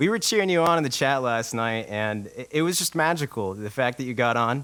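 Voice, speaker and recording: A man with an American accent speaks in an unremarkable speaking voice, at a medium pitch and a fairly quick pace, with lively intonation. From Ohio. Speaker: internet radio show host. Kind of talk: casual chat. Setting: internet radio stream.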